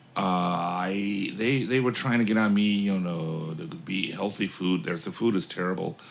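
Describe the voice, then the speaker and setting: A man speaks in an unremarkable speaking voice with an American accent, at a fairly low pitch with ordinary pitch variation. His pace is moderate, with hardly any pauses. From United States. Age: 60s. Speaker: author. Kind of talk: casual chat.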